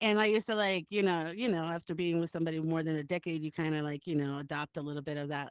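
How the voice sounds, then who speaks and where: The speaker has an American accent and talks at a very fast pace. There are hardly any pauses. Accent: slight New York accent when angry. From Texas. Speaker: podcast host. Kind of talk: casual chat. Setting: live recording with guests. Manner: animated.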